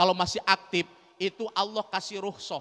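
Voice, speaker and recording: Monotone, flat intonation from a man at a fairly quick pace. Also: dry, close sound with no echo. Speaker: Islamic preacher. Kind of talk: sermon. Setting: mosque with audience. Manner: conversational, engaging audience with questions.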